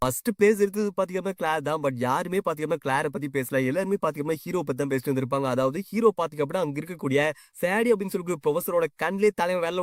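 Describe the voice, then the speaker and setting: Recorded with a dry, close sound and no echo, a man with a high pitch speaks in lively intonation. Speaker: manhwa story explainer. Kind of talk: casual story recap narration. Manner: casual, conversational.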